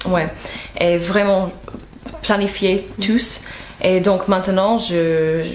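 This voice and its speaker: A woman with an American accent speaks very slowly at medium pitch, in a monotone, flat delivery with very even loudness and long, frequent pauses, over noticeable background noise. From United States. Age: 20s. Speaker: novelist. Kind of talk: interview answer.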